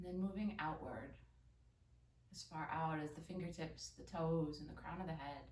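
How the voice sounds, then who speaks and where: Against audible room echo, a woman with a very deep, low pitch and vocal fry speaks at a moderate pace, her fairly even intonation broken by long, frequent pauses. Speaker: yoga instructor. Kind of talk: guided yoga class. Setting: home recording early morning.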